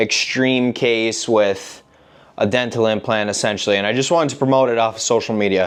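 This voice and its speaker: A man talks at a fairly quick pace with an ordinary speaking voice, medium pitch and fairly even intonation. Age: 20s. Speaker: college wrestler and content creator. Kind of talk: casual vlog monologue.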